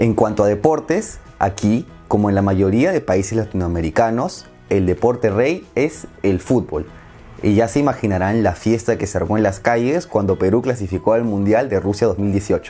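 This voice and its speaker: A man with a Peruvian accent, fairly low in pitch, with ordinary pitch variation, very even loudness and a moderate pace over faint background music. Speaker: Spanish teacher. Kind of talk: language lesson narration. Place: home room. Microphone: lapel.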